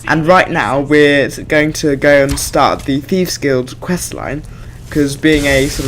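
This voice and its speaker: A man speaks at a moderate pace with a fairly high pitch. Noticeable background noise runs under the voice. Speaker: gaming video creator. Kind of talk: gameplay commentary. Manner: hesitant, many fillers.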